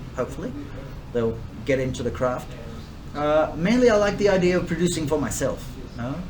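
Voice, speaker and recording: A man with a slight English accent speaks fairly high in pitch. Noticeable background noise and audible room echo fill the recording. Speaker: distiller and bar owner. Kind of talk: interview. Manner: hesitant, many fillers.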